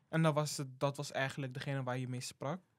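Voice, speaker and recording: At a moderate pace and with fairly even intonation, a man talks in an ordinary speaking voice on a very clean recording with a silent background. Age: 18. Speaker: student intern. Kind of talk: casual interview.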